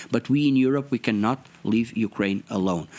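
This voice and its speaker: A man with a Portuguese accent at a moderate pace. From Portugal. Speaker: member of European Parliament. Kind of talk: interview. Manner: halting, hesitant with fillers.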